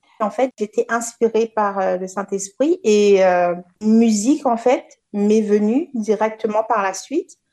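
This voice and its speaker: A woman at a very slow pace with fairly high pitch and ordinary pitch variation, in a dry, close sound with no echo. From Réunion. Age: 30s. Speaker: dancer. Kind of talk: interview. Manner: halting.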